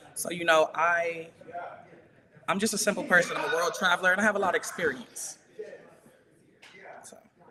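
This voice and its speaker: Noticeable background noise sits behind a woman with an American accent who speaks at a fairly quick pace with a fairly low pitch and long, frequent pauses. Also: ordinary pitch variation, big swings in loudness. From US, Providence, Rhode Island and Birmingham, Alabama. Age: 30s. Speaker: war veteran and hairstylist. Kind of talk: casual interview chat. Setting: video call. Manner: laid back.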